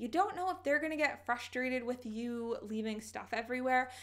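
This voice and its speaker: A woman speaking at a fairly quick pace in a high pitch. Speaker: lifestyle vlogger. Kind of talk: casual advice vlog. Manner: fast.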